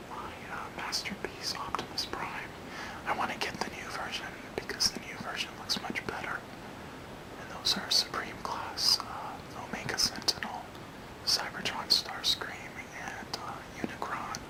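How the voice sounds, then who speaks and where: A man whispers fairly slowly while noticeable background noise carries on behind him. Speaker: ASMR creator. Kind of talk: casual talk to camera. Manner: whispered, soft-spoken.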